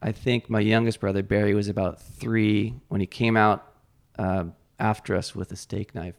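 A man with an American accent, fairly low in pitch, at a moderate pace and with fairly even intonation. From Northern California. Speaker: distiller and gin maker. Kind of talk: casual chat. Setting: at host's table. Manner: halting.

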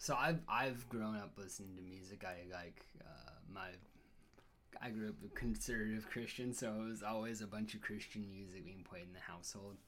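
An unremarkable speaking voice moves along at a moderate pace. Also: man, fairly low pitch for a man, ordinary pitch variation, big swings in loudness. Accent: American. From Washington State, Everett near Seattle. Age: 30s. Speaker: podcast guest. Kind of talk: casual chat. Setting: in person.

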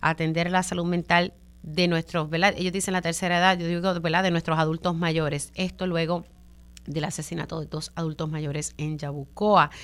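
On a very clean recording with a silent background, a woman uses a plain, everyday voice at a moderate pace with fairly even intonation. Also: fairly low pitch for a woman. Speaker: radio journalist and host. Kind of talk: radio talk show interview.

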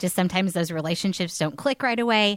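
A woman with an American accent has a plain, everyday voice at a medium pitch, with lively intonation. She talks at a fairly quick pace in a dry, close sound with no echo. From northern Indiana. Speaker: elementary school teacher. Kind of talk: casual interview.

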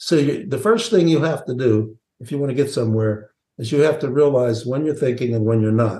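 A man talks at a fairly quick pace in a somewhat breathy voice with a dark, mellow tone. His pitch is medium, with ordinary pitch variation. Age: 70s. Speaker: sales training CEO and author. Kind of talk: podcast interview.

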